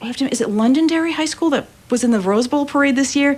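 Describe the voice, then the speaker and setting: Over noticeable background noise, a woman speaks in an animated tone with a high pitch. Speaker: community band organizer and musician. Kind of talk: radio interview. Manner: fast.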